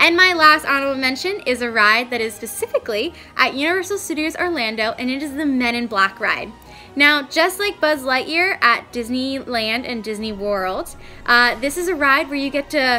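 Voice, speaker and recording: Music plays in the background as a woman speaks in a raised, projected voice. Her pitch is high and her pace is moderate. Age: 20s. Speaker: vlogger. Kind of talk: casual vlog. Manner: animated.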